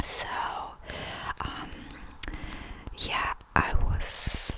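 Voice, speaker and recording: The speech is whispered. There is noticeable background noise behind it. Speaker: ASMR creator. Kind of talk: rambling ASMR talk. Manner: soft-spoken, low-energy; hesitant, many fillers.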